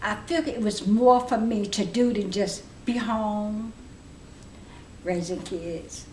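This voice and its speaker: A fairly high-pitched, somewhat breathy woman speaks very slowly, with long, frequent pauses and ordinary pitch variation. Room echo is audible. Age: 70s. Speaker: adult education student. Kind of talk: interview. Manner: halting.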